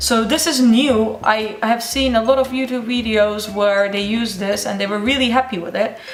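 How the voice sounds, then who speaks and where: This woman has a non-native accent and a fairly high pitch, talking at a moderate pace with fairly even intonation. Noticeable background noise and audible room echo fill the recording. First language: not English. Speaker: beauty YouTuber. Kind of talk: tutorial. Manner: casual, hesitant.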